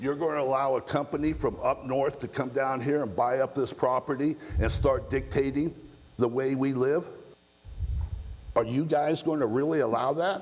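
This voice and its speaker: Speaking at a moderate pace, a man uses a fairly high pitch and fairly even intonation. He has an unremarkable speaking voice. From Southern California. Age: 60s. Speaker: resident speaking at public comment. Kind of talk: public comment at council meeting. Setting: city council meeting.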